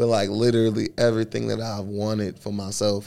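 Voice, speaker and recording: Fairly even intonation marks an unremarkable speaking voice with an American accent. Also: man. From Buffalo, New York. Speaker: podcast host and fatherhood program facilitator. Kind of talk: casual conversational chat.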